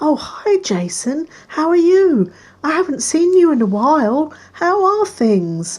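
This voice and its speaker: A female-sounding voice does a squeaky put-on character voice, high in pitch. It moves at a fairly slow pace. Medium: read story. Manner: effusive, affectionate.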